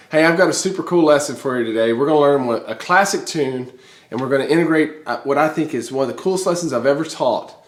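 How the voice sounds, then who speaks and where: Over noticeable background noise, a man with a fairly high pitch talks very fast with ordinary pitch variation. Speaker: music teacher. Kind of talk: tutorial. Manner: animated.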